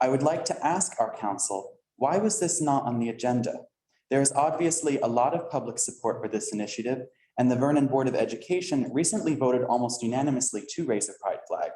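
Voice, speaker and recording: In an American accent, a man with a fairly high pitch and a dark, mellow tone talks at a fairly quick pace with lively intonation. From northern New Jersey, US. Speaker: resident speaking at public comment. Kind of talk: public comment at council meeting. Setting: council meeting room with audience.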